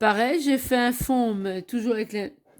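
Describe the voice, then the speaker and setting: A woman with lively intonation in a very clean recording with a silent background. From Belgium. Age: 50s. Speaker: craft hobby youtuber. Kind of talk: craft show-and-tell tutorial. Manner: hesitant, with fillers.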